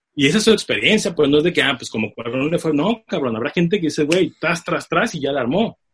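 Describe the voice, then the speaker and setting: A man talks at a very fast pace, somewhat breathy. His intonation is lively. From Tijuana, Mexico. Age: 30s. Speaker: film producer. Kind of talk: interview. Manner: animated.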